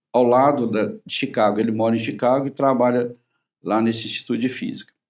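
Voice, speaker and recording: A man talks at a medium pitch and a moderate pace. He has an ordinary speaking voice. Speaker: cardiologist. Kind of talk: TV talk-show interview.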